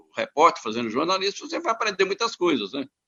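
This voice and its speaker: Vocal fry runs through this man's voice. He lets his pitch swing very widely. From Minas Gerais, Brazil (Araxá, Triângulo Mineiro). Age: 80s+. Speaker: veteran radio football commentator. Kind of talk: interview. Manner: halting, many repetitions.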